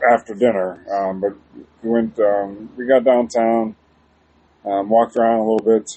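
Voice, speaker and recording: A man talks at a moderate pace in a flat monotone, leaving long, frequent pauses. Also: medium pitch for a man. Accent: American. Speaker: podcast co-host. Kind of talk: casual chat. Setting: outdoors in backyard. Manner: halting, many fillers.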